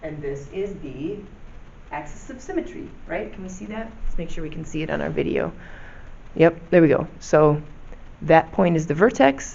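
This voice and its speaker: A woman speaks at a moderate pace and fairly low pitch with ordinary pitch variation, long, frequent pauses and big swings in loudness. Noticeable background noise runs behind her. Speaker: math teacher. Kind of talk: tutorial. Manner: casual, many fillers.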